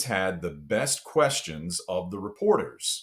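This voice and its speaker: A man talks in a Texas accent. His pitch swings very widely. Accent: Southern US (Texas). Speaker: sports TV host. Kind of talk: podcast interview answer.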